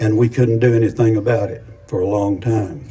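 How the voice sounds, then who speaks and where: A man's medium-pitched voice, dark and mellow in tone, somewhat breathy, at a moderate pace. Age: 90s (80s+). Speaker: retired air force colonel, war veteran. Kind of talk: commemorative speech. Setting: outdoor ceremony with audience. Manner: halting.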